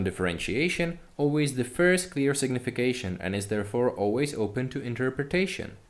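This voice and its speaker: Audible room echo surrounds a man at medium pitch. He speaks at a moderate pace with lively intonation. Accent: non-native. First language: not English. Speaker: university lecturer. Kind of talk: lecture. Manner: formal.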